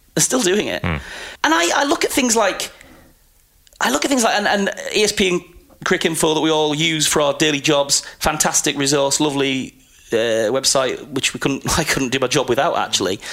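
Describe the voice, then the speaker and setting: This man's fairly high pitch rides on lively intonation, and his loudness stays very even at a moderate pace. Noticeable background noise can be heard. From northern England. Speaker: cricket journalist. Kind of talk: casual interview chat. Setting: Melbourne, in person.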